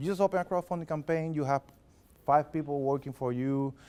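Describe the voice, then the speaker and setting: A man with a strong non-native accent and lively intonation at a moderate pace. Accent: heavy foreign. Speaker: filmmaker and production consultant presenting at a meetup. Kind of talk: workshop presentation. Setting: library meeting room with live audience. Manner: animated.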